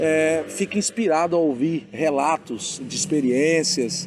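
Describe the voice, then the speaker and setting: Fairly high-pitched male voice with ordinary pitch variation, over noticeable background noise. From Bahia, Brazil. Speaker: pastor and interviewer. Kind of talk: interview. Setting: outdoors in a town square.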